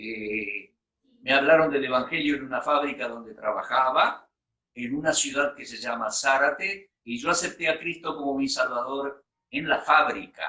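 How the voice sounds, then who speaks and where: The tone is bright and sharp, with ordinary pitch variation. Loudness swings widely at a fairly slow pace. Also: man, fairly high pitch for a man. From Argentina. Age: 60s. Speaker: bible teacher. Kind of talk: personal testimony in a talk.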